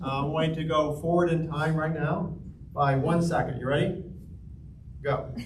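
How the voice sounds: Fairly even intonation at a fairly slow pace, with audible room echo. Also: man, fairly high pitch for a man.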